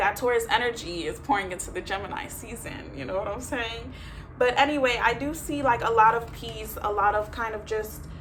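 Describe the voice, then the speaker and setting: Fairly quick speech with big swings in loudness, audible room echo and noticeable background noise. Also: woman. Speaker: tarot reader. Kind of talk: tarot reading. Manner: fast; casual, filler-heavy.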